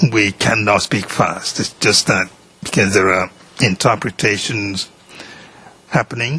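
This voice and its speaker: A man speaks at a fairly slow pace in a fairly low voice. Noticeable background noise runs behind him. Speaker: judge. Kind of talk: courtroom instructions to a witness. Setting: courtroom. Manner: formal.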